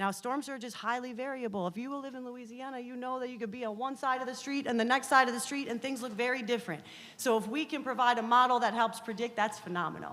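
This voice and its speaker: A woman's high-pitched, very fast speech with hardly any pauses, fairly even intonation and big swings in loudness. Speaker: university researcher. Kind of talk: presentation.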